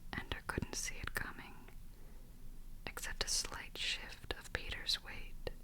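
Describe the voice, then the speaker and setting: Someone whispers at a fairly slow pace. Noticeable background noise sits under the voice. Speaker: ASMR audiobook reader. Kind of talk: audiobook reading. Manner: whispered.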